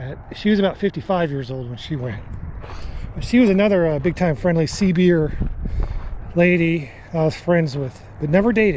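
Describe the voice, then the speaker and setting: Speaking at a moderate pace with lively intonation and long, frequent pauses, a man with a high pitch is heard over noticeable background noise. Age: 60s. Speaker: hiking vlogger. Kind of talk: casual monologue.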